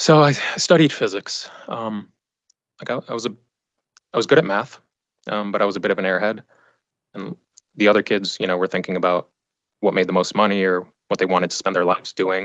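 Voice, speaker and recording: A man with a Western US accent talks at a fairly quick pace and a fairly low pitch, taking long, frequent pauses, in a dry, close sound with no echo. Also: ordinary pitch variation. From Arizona, Phoenix area (raised from age two). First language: not English (Afghan family language). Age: 30s. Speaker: trial witness. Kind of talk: courtroom testimony. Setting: courtroom. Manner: halting, repeats words.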